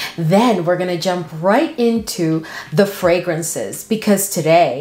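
There is audible room echo and faint music in the background as a woman speaks at a very slow pace. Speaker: fragrance creator. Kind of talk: casual vlog chat.

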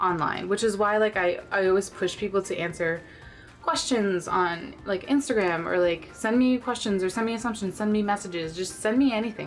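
Faint music plays in the background. A woman talks at a fairly quick pace. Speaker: vlogger. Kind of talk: casual vlog chat. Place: home room. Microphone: camera far.

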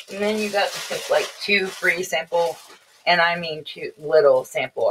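Light background noise sits behind the speaker. A woman talks at a fairly slow pace. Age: 40s. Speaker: beauty vlogger. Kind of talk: casual unboxing vlog. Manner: chatty. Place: home room. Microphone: webcam.

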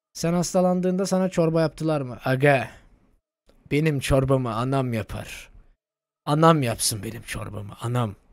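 Lively intonation and an animated tone come through over a quiet background. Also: man, fairly high pitch for a man, moderate pace, dry sound with no echo. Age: 20s. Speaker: gaming streamer. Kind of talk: casual live stream commentary. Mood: joking, swearing, animated. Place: home room. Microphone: studio mic.

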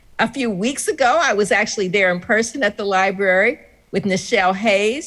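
Against a quiet background, a woman with a medium pitch speaks at a moderate pace with lively intonation. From US Midwest. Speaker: historian and keynote speaker. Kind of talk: keynote speech. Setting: video call. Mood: warm, celebratory. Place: home room. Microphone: video call.

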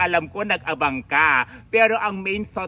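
A man's speech moves at a moderate pace, his intonation lively. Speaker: vlogger. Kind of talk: vlog monologue. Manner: animated.

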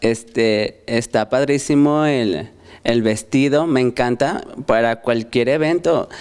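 A man at a medium pitch with ordinary pitch variation, a very slow pace and very even loudness, on a very clean recording with a silent background. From Fresnillo, Mexico. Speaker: hair stylist. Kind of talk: studio TV chat.

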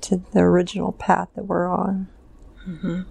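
A woman speaks with a dry sound and no echo. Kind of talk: trance narration, slow and halting. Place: home room. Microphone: lapel.

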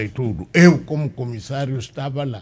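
A man speaks in a somewhat breathy voice. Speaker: former liberation movement politician. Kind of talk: panel interview. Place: studio. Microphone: studio mic.

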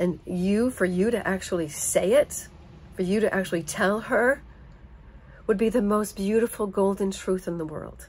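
A woman speaks at a moderate pace with fairly even intonation. Her voice is somewhat breathy. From United States. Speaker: vlogger. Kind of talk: personal monologue. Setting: home. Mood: earnest, emotional. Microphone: phone near.

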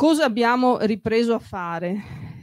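A woman's fairly high-pitched voice moves with ordinary pitch variation. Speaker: local councillor. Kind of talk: public statement. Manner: halting.

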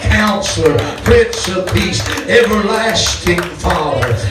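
Amid loud background noise and audible room echo, a man speaks at a very slow pace. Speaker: pastor. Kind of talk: sermon. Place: church. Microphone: handheld.

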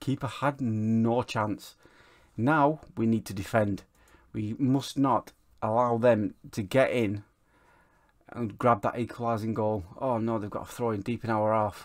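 A man with an ordinary speaking voice in a very clean recording, silent background. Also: medium pitch for a man. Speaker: gaming YouTuber. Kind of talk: football game let's play with live-style match commentary. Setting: home recording, voiceover over game footage. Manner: fast, clipped play-by-play of passes and shots, rising to an excited 'Oh, and he scores'.

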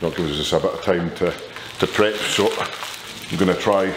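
Noticeable background noise accompanies a man who speaks fairly quickly at a fairly low pitch with fairly even intonation. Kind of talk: casual vlog chat. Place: gym. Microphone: camera far.

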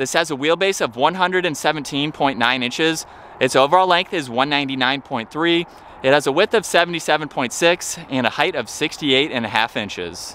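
A man speaks at a very slow pace with ordinary pitch variation, the sound dry with no echo but with light background noise. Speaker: car reviewer. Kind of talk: commentary. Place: street. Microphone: phone near.

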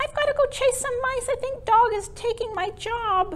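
Using a cartoonish character voice, a woman speaks at an extremely high pitch and a moderate pace. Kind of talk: children's puppet show, comic. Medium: puppet show. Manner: playful, offhand.

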